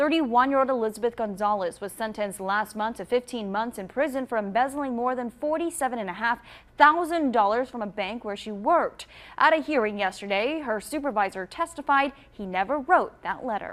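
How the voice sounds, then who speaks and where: With a normal speaking voice, a woman talks at a fairly quick pace in a fairly high pitch, her intonation lively and her loudness swinging widely, on a very clean recording with a silent background. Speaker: television news anchor. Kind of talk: local TV newscast anchor read. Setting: studio.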